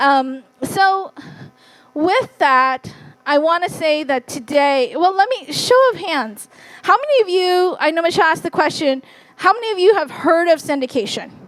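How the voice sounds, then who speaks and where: A woman speaks with a Californian accent at an extremely high pitch. Her pitch swings very widely at a moderate pace. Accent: Californian American English. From US, Fresno, California, Hmong American community. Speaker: real estate investor and wealth strategist. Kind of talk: conference talk. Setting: stage with audience.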